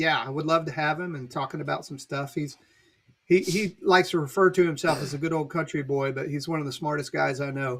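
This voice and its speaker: A man with an American accent talks at a fairly quick pace and a fairly high pitch on a very clean recording with a silent background. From Virginia. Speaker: pastor. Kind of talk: casual chat.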